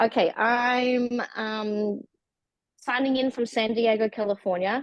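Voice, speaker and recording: A woman with an Australian accent, fairly high pitch, and fairly even intonation at a very slow pace. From Australia, Melbourne. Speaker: class participant. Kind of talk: casual chat. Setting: video call.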